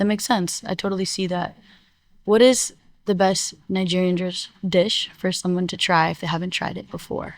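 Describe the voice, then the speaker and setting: With a plain, everyday voice, a woman talks at a moderate pace and medium pitch with fairly even intonation, in a very clean recording with a silent background. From born in India, raised in US. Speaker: interviewer. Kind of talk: interview.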